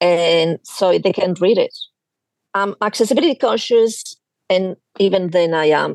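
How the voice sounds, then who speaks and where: Speaking in a Spanish accent, a woman talks at medium pitch and a moderate pace with ordinary pitch variation. The sound is dry and close, with no echo. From Spain. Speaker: quilting YouTuber. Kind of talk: casual chat.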